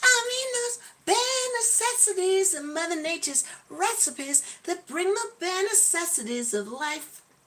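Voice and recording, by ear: A woman puts on a character voice, squeaky and extremely high in pitch, with an American accent. She keeps a moderate pace.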